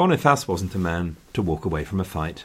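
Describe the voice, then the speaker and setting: With lively intonation and an English accent, a man speaks at a very deep, low pitch in a very clean recording with a silent background. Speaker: history podcaster. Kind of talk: scripted history narration. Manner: wry, dry humoured, storytelling; conversational, gently sarcastic.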